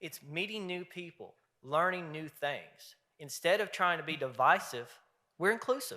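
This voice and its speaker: Bright and sharp, a man's high voice sounds animated, with lively intonation and big swings in loudness. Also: moderate pace. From Eastern Kentucky. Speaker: fraternity leader. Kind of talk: convention speech. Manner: folksy, animated.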